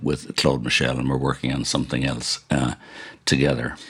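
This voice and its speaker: Over noticeable background noise, a man with an Irish accent speaks fairly quickly in a very deep, low voice. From Ireland. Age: 70s. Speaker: podcast host and TV director. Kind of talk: casual radio-style presenting.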